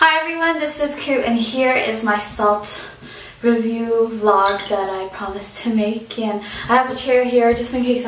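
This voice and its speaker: Speaking at a fairly slow pace, a woman with a fairly high pitch and ordinary pitch variation is heard through audible room echo and noticeable background noise. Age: 20s. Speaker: vlogger, former overseas volunteer English teacher. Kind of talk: casual vlog monologue. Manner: hesitant, many fillers.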